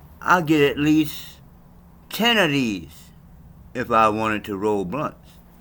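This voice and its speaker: Very slowly, a man with a medium pitch and a bright, sharp tone speaks with very wide pitch swings. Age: 60s. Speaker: cannabis vlogger. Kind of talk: casual monologue vlog. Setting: home bedroom. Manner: animated.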